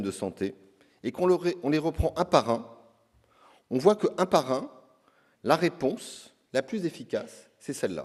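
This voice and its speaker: A man speaks at a fairly slow pace with a fairly high pitch and vocal fry. His pitch swings very widely. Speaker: health insurance agency director. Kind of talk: conference speech. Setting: conference stage with audience. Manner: hesitant, many filler sounds.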